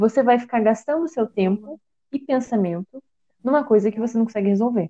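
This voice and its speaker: Dry and close with no echo, the recording has a woman with a dark, mellow tone, fairly high pitch and lively intonation speaking at a moderate pace. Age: 20s. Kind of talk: casual chat.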